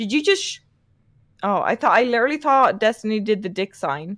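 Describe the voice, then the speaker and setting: On a very clean recording with a silent background, a woman speaks with an Irish accent. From Ireland. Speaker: streamer on a podcast panel. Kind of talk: casual heated chat. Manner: animated.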